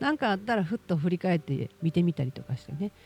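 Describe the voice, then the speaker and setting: A woman's medium-pitched voice in a Kansai accent, very wide pitch swings, moderate pace, dry and close with no echo, music in the background. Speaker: podcast host. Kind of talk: casual monologue.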